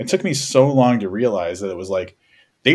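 This man has an unremarkable speaking voice in a medium pitch. He talks at a fairly quick pace with lively intonation. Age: 40s. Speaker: podcast host. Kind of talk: casual chat.

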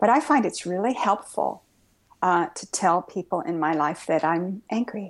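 Against a quiet background, a woman speaks at a moderate pace in a plain, everyday voice. Her pitch is medium and her intonation lively. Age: 60s. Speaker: Zen Buddhist priest and author. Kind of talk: interview conversation.

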